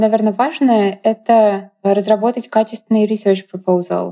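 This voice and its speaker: Fairly slow and fairly high in pitch, a woman speaks with a dark, mellow tone. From Russia. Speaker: legal scholar. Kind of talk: interview.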